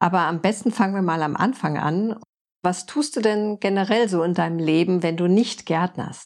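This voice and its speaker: Speaking at a moderate pace, a woman uses a plain, everyday voice with a medium pitch and ordinary pitch variation. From Frankfurt, Germany. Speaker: podcast host and permaculture designer. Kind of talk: interview.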